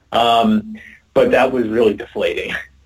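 Here a man speaks with an American accent. His pace is fairly slow. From New York City (Queens). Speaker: sports journalist. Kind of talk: casual chat.

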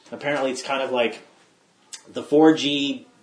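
Noticeable background noise runs under this recording. A man talks at a fairly slow pace with a fairly high pitch. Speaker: podcast host. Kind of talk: casual podcast chat.

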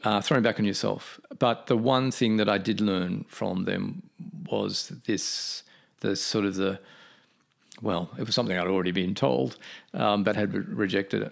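At a moderate pace, a man with an Australian accent talks in a fairly low voice with vocal fry. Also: ordinary pitch variation, very clean recording, silent background. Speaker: painter. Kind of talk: interview. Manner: halting.

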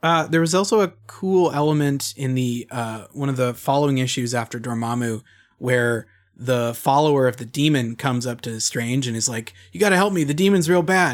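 Moderately paced male speech at medium pitch, an unremarkable speaking voice with ordinary pitch variation, on a very clean recording with a silent background. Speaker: guest co-host from another podcast. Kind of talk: casual chat.

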